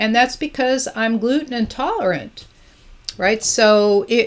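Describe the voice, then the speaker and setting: A woman talks fairly slowly, fairly high in pitch, in an ordinary speaking voice. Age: 60s. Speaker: energy healer. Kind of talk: tutorial. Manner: casual conversational.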